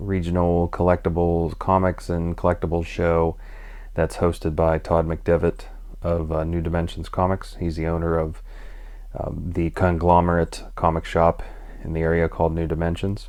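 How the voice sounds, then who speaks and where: A quiet man with an American accent, very deep and low in pitch, in a monotone, flat delivery at a moderate pace. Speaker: comic book vlogger. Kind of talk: casual vlog monologue. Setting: at home at night. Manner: hesitant, many fillers.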